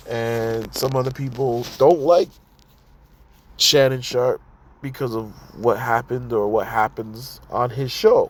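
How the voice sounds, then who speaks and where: With long, frequent pauses, a man speaks at a fairly slow pace and with fairly even intonation. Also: medium pitch for a man. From Toronto, Canada. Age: 30s. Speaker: podcast host. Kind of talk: casual solo podcast commentary. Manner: rambling, conversational; halting, repeats words.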